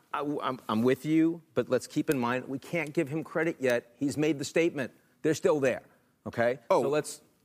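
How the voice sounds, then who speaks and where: This man has an unremarkable speaking voice, fairly high in pitch, with fairly even intonation at a moderate pace. The recording sounds dry and close, with no echo. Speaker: political analyst. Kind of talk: panel discussion. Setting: stage with audience.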